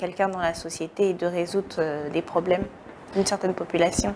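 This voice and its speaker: At a fairly quick pace, a woman talks in a monotone, flat intonation at a medium pitch. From West Africa. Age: 20s. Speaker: entrepreneur. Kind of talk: TV interview.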